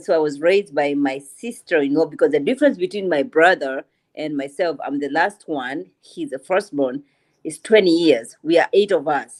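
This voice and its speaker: Speaking with an African accent, a woman uses a very deep, low pitch, lively intonation and a moderate pace. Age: 40s. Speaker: panelist. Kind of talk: casual chat. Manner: animated.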